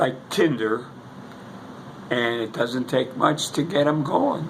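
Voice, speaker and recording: With noticeable background noise, a man in an American accent speaks at a very slow pace, with medium pitch and ordinary pitch variation. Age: 80s+. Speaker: war veteran. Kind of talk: casual chat. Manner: halting.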